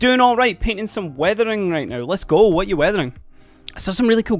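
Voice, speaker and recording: This man speaks in an animated tone. His pitch swings very widely. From Scotland. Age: 30s. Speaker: livestreamer painting miniatures. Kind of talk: casual livestream chat. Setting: livestream.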